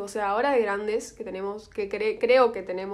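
A woman with an Argentine accent talks at a very fast pace. Her medium pitch keeps fairly even intonation. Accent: Rioplatense Argentine Spanish. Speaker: podcast co-host. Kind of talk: casual chat.

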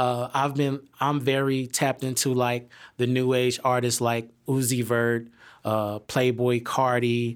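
On a very clean recording with a silent background, a man with an American accent speaks fairly slowly, in a flat monotone at very even loudness. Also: medium pitch for a man. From United States. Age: 30s. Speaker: hip hop artist. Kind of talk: interview. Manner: casual.

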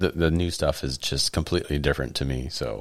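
A man with an American accent and very deep, low pitch, at a fairly quick pace, with vocal fry and ordinary pitch variation. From Oregon, US Pacific Northwest. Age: 30s. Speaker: coworker and podcaster. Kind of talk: casual chat. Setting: studio.

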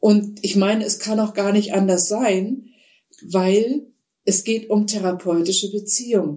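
Somewhat breathy and dark, mellow in tone, a woman speaks at a fairly slow pace with a medium pitch and fairly even intonation. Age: 60s. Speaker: psychotherapist and author. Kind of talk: interview.

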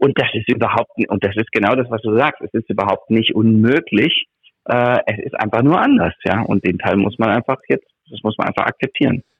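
At a medium pitch and a moderate pace, a man speaks with ordinary pitch variation. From Germany. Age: 50s. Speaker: textile factory executive. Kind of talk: interview. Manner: animated.

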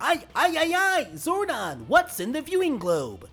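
Music plays in the background as a put-on character voice, high in pitch, moves at a fairly slow pace. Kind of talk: stuttering. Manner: bad, stumbling impression.

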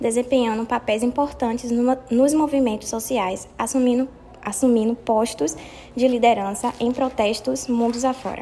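The speaker has an unremarkable speaking voice with fairly even intonation. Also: woman. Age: 20s. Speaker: apprentice worker. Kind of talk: prepared talk read aloud.

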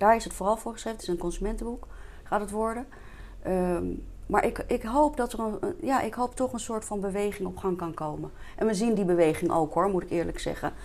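A woman with a plain, everyday voice talks at a fairly quick pace, her medium pitch carried by lively intonation. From Netherlands, Diemen near Amsterdam. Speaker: entrepreneur and vitality coach. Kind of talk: interview. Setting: studio.

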